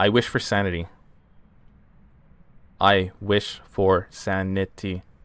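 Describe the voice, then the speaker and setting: A man uses a put-on, robotic character voice with a very deep, low pitch and monotone, flat intonation, moving at a fairly slow pace with long, frequent pauses. The recording is very clean, with a silent background. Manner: flat, mechanical.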